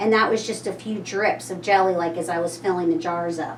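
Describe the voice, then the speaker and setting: Someone with a Kentucky accent speaks over noticeable background noise, with audible room echo. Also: woman. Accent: Kentucky pronunciation. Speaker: local shop owner presenting a cooking class. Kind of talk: tutorial. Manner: casual, chatty.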